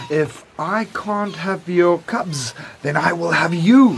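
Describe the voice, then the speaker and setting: A put-on character voice at a middle pitch delivers its lines at a fairly slow pace, with hissing in the audio. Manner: hissing, menacing.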